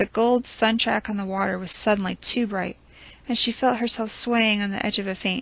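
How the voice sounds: The voice heard is a natural reading voice.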